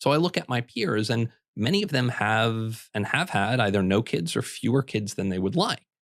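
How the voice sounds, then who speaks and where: At a medium pitch and a moderate pace, a man speaks with ordinary pitch variation and very even loudness in an unremarkable speaking voice. The recording is very clean, with a silent background. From Minnesota. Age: 30s. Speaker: housing writer and entrepreneur. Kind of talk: podcast interview.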